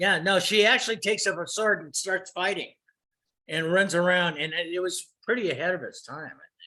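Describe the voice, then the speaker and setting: A man with an American accent speaks in a raised, projected voice at a fairly quick pace. His pitch is high, with a bright, sharp tone and fairly even intonation. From Los Angeles, US. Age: 70s. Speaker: retired photographer and computer consultant. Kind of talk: casual interview. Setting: video call.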